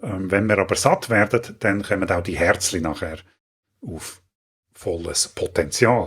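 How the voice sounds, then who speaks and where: In a very clean recording with a silent background, a man speaks with a Swiss accent. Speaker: gaming tutorial youtuber. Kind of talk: tutorial.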